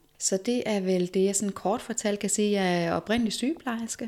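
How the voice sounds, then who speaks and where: A woman's dark, mellow tone at a medium pitch, with fairly even intonation. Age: 40s. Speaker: movement teacher, former nurse. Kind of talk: interview conversation.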